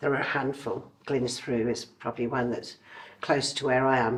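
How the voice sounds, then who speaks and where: Her pace moderate, a woman is talking. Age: 60s. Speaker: former estate agent, conveyancing consultant. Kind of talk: interview. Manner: hesitant fillers.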